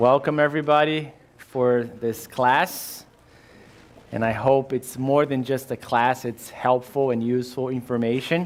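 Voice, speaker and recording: At a fairly slow pace, a man with a Brazilian Portuguese accent speaks at a medium pitch with fairly even intonation. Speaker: insurance agent and risk manager. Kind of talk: workshop presentation. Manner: halting, many fillers.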